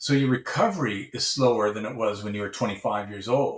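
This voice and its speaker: Ordinary pitch variation in a man's somewhat breathy speech. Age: 60s. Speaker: professor and researcher. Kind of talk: podcast interview.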